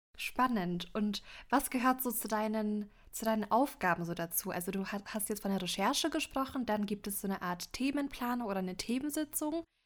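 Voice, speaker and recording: In a very clean recording with a silent background, a woman with a normal speaking voice talks at a moderate pace with fairly high pitch and lively intonation. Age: young. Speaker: podcast host and journalist. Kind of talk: casual interview.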